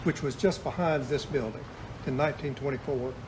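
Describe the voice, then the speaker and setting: The speaker has an American accent and fairly even intonation, going at a moderate pace, with audible room echo. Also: man. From US South. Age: 70s. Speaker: retired store owner. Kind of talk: interview.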